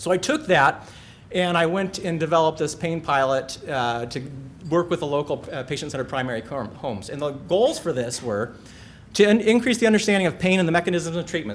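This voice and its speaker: This man talks at a very fast pace in a high pitch. His pitch swings very widely. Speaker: physician, pain specialist. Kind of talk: presentation talk. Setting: stage with audience. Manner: animated.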